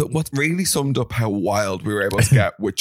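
The clip features an unforced reading voice with lively intonation.

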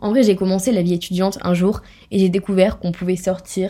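At a moderate pace, a woman speaks in a dark, mellow tone at medium pitch, her intonation monotone and flat. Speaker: podcast host. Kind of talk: casual monologue.

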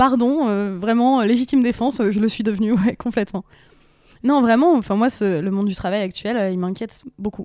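In a very clean recording with a silent background, a woman speaks at a moderate pace and a fairly high pitch with ordinary pitch variation. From northern France, Picardie (Aisne). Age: 30s. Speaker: actress and YouTube influencer. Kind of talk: casual interview chat. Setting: at home on a couch. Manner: hesitant, many fillers.

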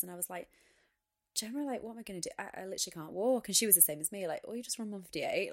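A woman in a Lancashire accent, on a very clean recording with a silent background. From northern England, Wigan. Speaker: retired Olympic athlete. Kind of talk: interview.

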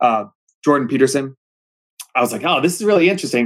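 With an American accent, a man speaks in a plain, everyday voice, fairly high in pitch and lively in intonation. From Pennsylvania. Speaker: high school civics teacher. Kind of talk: casual interview.

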